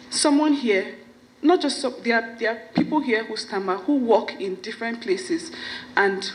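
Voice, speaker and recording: With noticeable background noise, a woman speaks fairly slowly at a fairly high pitch, her intonation lively. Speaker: stammering foundation founder. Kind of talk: event speech. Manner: stammers.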